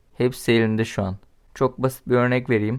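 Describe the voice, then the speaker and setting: A man is speaking. The background is quiet. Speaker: political commentary vlogger. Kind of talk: political commentary monologue. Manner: casual.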